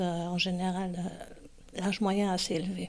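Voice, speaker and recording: On a very clean recording against a silent background, a woman talks at a very slow pace. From Germany. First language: German (speaking French). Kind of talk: interview. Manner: hesitant, many fillers.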